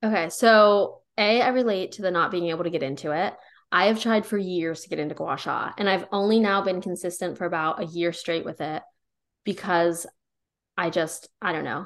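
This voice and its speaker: An ordinary speaking voice with an American accent, moderate pace and ordinary pitch variation, over a quiet background. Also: woman, medium pitch for a woman. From rural Pennsylvania. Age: 20s. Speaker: podcast co-host, wellness content creator. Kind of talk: casual chat.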